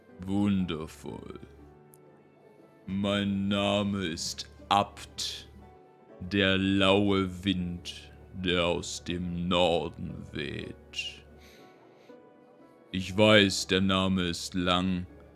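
A man uses a put-on character voice with a very deep, low pitch. He talks at a very slow pace with long, frequent pauses and monotone, flat intonation, and clear music plays in the background. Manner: calm, dignified, gracious.

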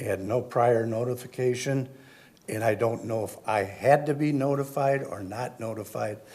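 A man with an American accent at medium pitch, moderate in pace, with fairly even intonation and audible room echo. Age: 70s. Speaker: resident speaking at public comment. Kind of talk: public comment at council meeting. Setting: city council chamber. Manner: halting, many fillers.

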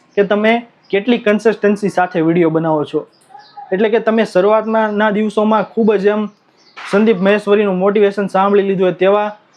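Noticeable background noise under a man's high voice. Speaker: YouTube creator giving growth tips. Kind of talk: tutorial. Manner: animated.

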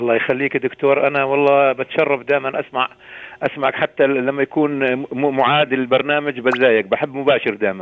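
An unremarkable speaking voice, this man talks at a moderate pace and medium pitch, with very even loudness and fairly even intonation. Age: 60s. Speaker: caller. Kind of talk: phone call request. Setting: phone call.

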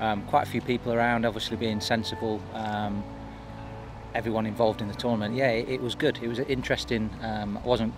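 Over music in the background, a man talks very fast with fairly even intonation, and the sound is dry with no echo. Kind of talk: interview answer. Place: open country.

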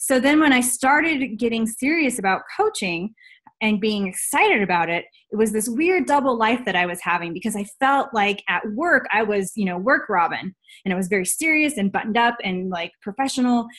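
Against a quiet background, a woman speaks fairly quickly in a fairly high pitch with lively intonation. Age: 30s. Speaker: health and fitness coach; fitness coach. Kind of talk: personal testimony on a team call. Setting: video call. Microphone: webcam.

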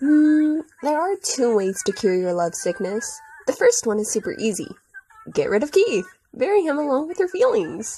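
A woman's put-on character voice, high and dark, mellow, with a slightly husky edge, big pitch swings and a moderate pace

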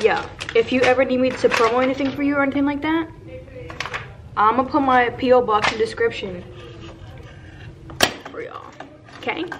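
Fairly quick speech from a woman with a high pitch, ordinary pitch variation, and noticeable background noise. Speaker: vlogger. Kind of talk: casual vlog chat. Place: station. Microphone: phone near.

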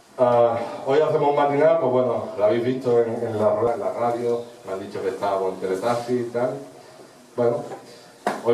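A man is heard with audible room echo. Light background noise is present. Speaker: club host presenting performers. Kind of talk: event announcement. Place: stage.

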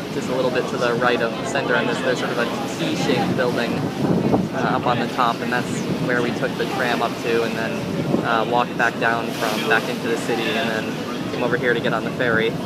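Over loud background noise, a man talks at a very fast pace in a dry recording with no echo. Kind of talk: casual vlog chat. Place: boat. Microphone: phone near.

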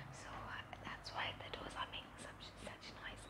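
A woman whispers at a fairly slow pace. Her tone is gentle. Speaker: aspiring doctor and ASMR creator; ASMR creator. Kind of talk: ASMR skincare talk to camera. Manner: soft-spoken, gentle, friendly. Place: home room. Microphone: lapel.

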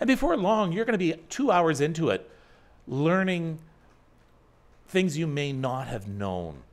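A man speaks in a high pitch at a fairly slow pace. His pitch swings very widely, and he leaves long, frequent pauses. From Northern Ontario, Canada; Ontario, Canada. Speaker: online talk show host. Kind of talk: casual chat. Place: home room. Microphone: studio mic.

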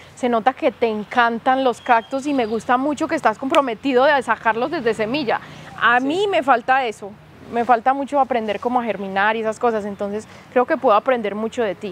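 A woman's high voice with a Medellín Colombian accent, at a fairly quick pace with ordinary pitch variation, a dry sound with no echo and light background noise. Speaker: YouTuber plant channel host. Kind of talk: casual vlog tour chat. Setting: outdoors in a plant nursery. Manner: animated, excitable. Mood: warm, enthusiastic. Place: shop.

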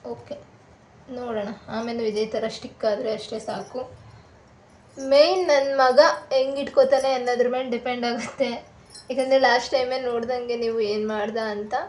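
Audible room echo and noticeable background noise surround a woman's high-pitched voice. Her intonation stays fairly even while her loudness swings widely. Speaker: vlogger and mother. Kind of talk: craft tutorial vlog. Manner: casual, chatty. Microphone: far from camera, voice may be quiet.

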